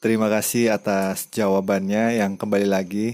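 A man speaks very slowly in a fairly low, dark and mellow voice. His delivery is monotone and flat, on a very clean recording with a silent background. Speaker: interviewer. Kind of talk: casual interview. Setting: outdoors behind host's house at night.

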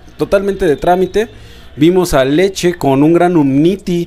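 Over noticeable background noise, a man speaks at a fairly slow pace. His voice is high, with lively intonation. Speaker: podcast co-host. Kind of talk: casual chat.

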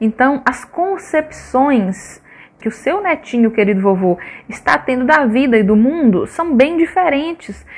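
Her high-pitched voice makes very wide pitch swings as the woman speaks. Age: 20s. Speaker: social worker. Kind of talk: radio interview.

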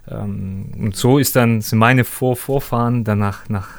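The clip features a man with an ordinary speaking voice. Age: 30s. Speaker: former professional footballer. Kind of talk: interview.

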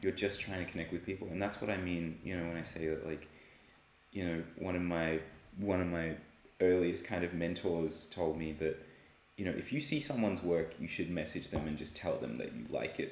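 In an Australian accent, a man with a very deep, low pitch speaks at a fairly quick pace with ordinary pitch variation, audible room echo around him. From Australia (Sydney). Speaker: artist and illustrator. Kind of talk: casual interview. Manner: hesitant, many fillers.

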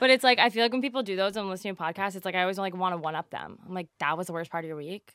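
Speaking very fast with hardly any pauses, a woman has a medium pitch and ordinary pitch variation. Her loudness swings widely, and the sound is dry and close with no echo. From New Jersey. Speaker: podcast co-host. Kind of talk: casual chat. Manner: animated.

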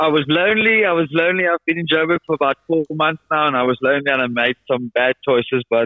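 A man talks at a very fast pace with a fairly high pitch. His loudness stays very even and his pitch varies an ordinary amount. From South Africa. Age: 30s. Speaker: salesman and storyteller. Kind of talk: casual chat. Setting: phone call.

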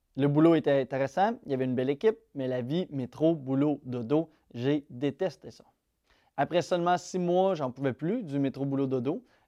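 A man's fairly high voice with a dark, mellow tone and a Quebec accent, at a moderate pace with ordinary pitch variation, in a dry, close sound with no echo against a quiet background. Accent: Québécois French. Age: 20s. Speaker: YouTuber and real estate investor. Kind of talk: casual vlog monologue.

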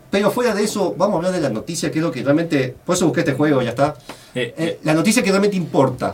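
Speaking very fast, a man with a fairly high voice uses lively intonation. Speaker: radio host. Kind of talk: casual chat. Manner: animated.

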